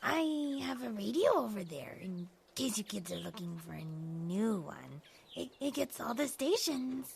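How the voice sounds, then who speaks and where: At a moderate pace, a woman uses a put-on character voice at medium pitch. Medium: audio drama. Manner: hesitant, stammering.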